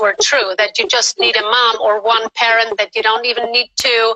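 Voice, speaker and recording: At a moderate pace, a woman with a non-native accent speaks in a fairly high pitch. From Spain. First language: not English. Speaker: guest caller on a live stream. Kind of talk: casual chat. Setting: live video stream. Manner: animated.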